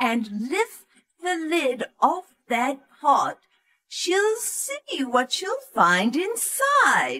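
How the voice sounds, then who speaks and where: A woman's cackling, put-on character voice, high-pitched and very slow, with very wide pitch swings. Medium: read story.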